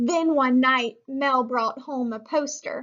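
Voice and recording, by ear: A woman speaks at a slow pace. Her pitch is high and her tone fairly bright. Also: ordinary pitch variation.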